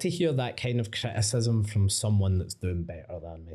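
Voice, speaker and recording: With a Glaswegian accent, a man speaks at a moderate pace in a fairly low, dark, mellow voice that is somewhat breathy. The recording is very clean, with a silent background. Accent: Glaswegian Scottish. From Scotland, Coatbridge. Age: 30s. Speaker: creative agency founder. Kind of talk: casual interview. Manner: casual, sweary.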